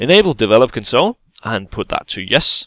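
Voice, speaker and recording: A man with a Danish accent speaks at a moderate pace on a very clean recording with a silent background. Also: dry, close sound with no echo. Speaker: gaming YouTuber. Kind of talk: tutorial. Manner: halting, many fillers.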